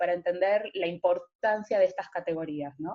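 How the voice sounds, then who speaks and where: This woman's voice has a dark, mellow tone. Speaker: philosophy lecturer. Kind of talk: lecture.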